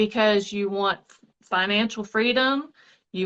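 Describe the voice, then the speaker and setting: Against a quiet background, a woman speaks shakily at a fairly slow pace. Her voice is bright and sharp, at a fairly high pitch with ordinary pitch variation. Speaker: network marketing seller. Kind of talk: casual live stream chat. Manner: shaky voice.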